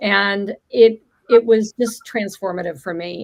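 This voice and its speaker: Here is a woman with an American accent. Her pitch sits in the middle range, and her intonation stays fairly even. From US Midwest, St. Louis (born South Africa). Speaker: sound healer and meditation teacher. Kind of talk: interview on a live stream.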